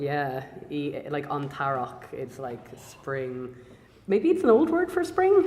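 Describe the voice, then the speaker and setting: Someone speaks very slowly in an Irish accent, with big swings in loudness. Noticeable background noise runs underneath. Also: woman. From Ireland. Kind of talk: casual conversation.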